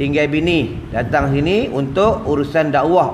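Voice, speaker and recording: Light background noise sits behind the speech. The voice is a man's. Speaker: religious teacher. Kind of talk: sermon. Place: church. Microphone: lapel.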